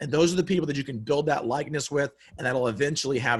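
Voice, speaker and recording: A man speaks in an energetic tone at a fairly high pitch. His voice is somewhat breathy. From South Carolina. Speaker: podcaster and real estate investor. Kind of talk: webinar presentation. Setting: video call. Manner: fast.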